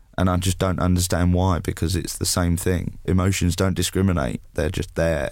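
In an English accent, a man with a very deep, low pitch talks at a moderate pace with monotone, flat intonation, very even loudness and hardly any pauses. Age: 20s. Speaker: mental health campaigner. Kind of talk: interview.

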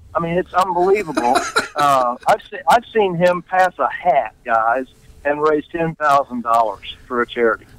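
A man speaks with an American accent, his pitch high and his intonation lively. The sound is dry and close with no echo, though background noise is noticeable. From Oklahoma. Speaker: auction company executive. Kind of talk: casual interview. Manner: animated.

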